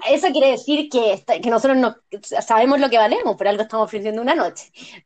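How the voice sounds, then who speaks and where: In a Chilean accent, a woman talks very fast at a high pitch with lively intonation. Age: 30s. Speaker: podcast panelist. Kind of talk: casual chat.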